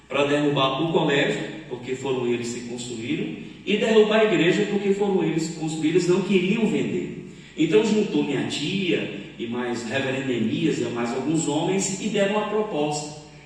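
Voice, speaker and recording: A man with a fairly high pitch speaks at a moderate pace with lively intonation, amid noticeable background noise and audible room echo. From Brazil. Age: 60s. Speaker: pastor. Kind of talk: sermon.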